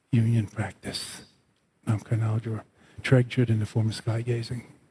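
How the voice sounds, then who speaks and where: Here a man speaks at a medium pitch with a dark, mellow tone that is somewhat breathy. His intonation is monotone and flat, at a fairly slow pace. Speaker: Buddhist teacher. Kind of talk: guided meditation, sky-gazing instruction. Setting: live class with audience. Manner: slow, meditative; spiritual, teaching tone.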